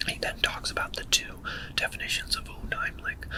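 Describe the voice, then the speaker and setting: A man whispering amid noticeable background noise. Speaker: literature ASMR channel host. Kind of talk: ASMR literary lecture. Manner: whispered.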